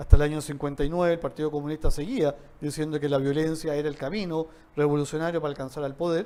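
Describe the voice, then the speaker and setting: In a dark, mellow tone, a man talks at a very fast pace with fairly even intonation. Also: fairly high pitch for a man. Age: 60s. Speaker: economics speaker. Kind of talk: talk in a training session. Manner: hesitant with repetitions.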